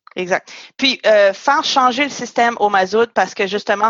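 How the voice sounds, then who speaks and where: At a moderate pace, a woman speaks in a plain, everyday voice at medium pitch with ordinary pitch variation. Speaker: podcast host. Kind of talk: interview.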